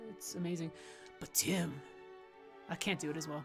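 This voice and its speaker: A woman speaks in an animated tone at a fairly quick pace. Her pitch is fairly low, with noticeable background noise. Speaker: streamer and writer. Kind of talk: casual gameplay livestream commentary.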